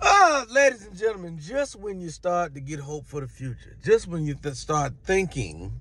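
A man's bright, sharp tone at a moderate pace, big swings in loudness, hardly any pauses, dry sound with no echo. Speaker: comedian. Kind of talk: comedic commentary rant. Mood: exasperated, mocking. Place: car. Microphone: phone near.

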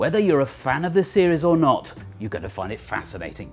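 The speech races along at a very fast pace with music playing in the background. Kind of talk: documentary narration.

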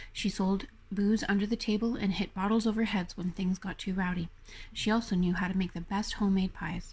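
Her intonation is monotone and flat. The woman sounds somewhat breathy and talks at a fairly quick pace. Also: medium pitch for a woman. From Yellowknife, Northwest Territories, Canada. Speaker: author and poet. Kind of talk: memoir reading.

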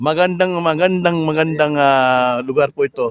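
At a moderate pace, a man speaks in a high pitch with fairly even intonation, and the sound is dry and close with no echo. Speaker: vlogger. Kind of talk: live stream. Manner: halting.

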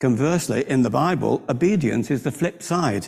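Vocal fry in a man's voice at a moderate pace against a quiet background. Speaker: preacher. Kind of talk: sermon. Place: church. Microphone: podium.

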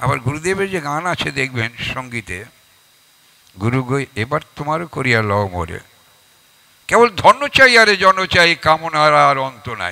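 A man speaks at a fairly high pitch, his loudness swinging widely and his pitch ranging very far up and down. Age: 80s+. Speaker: religious speaker, event anchor; speaker, event anchor. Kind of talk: religious address. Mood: earnest, devotional. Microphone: handheld.

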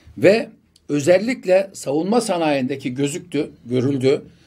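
Dark, mellow tone from a man, set against a quiet background. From Turkey, Bursa; Turkey. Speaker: politician; election candidate. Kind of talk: interview. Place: studio. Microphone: studio mic.

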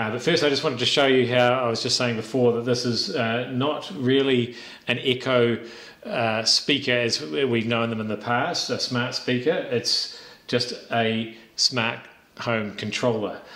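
The speech comes at a fairly slow pace. Audible room echo is present. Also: man, ordinary pitch variation. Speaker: tech reviewer. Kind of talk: product review demo. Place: home room.

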